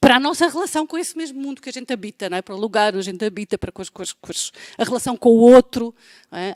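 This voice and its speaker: A woman talks in a European Portuguese accent. The sound is dry and close, with no echo. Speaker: professor. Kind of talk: lecture. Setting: web conference. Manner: halting, many fillers.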